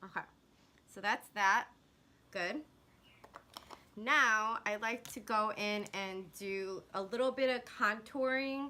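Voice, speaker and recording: A woman's fairly high, bright, sharp voice with an American accent, ordinary pitch variation, a very slow pace and long, frequent pauses. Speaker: beauty vlogger. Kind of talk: makeup tutorial. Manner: casual, chatty.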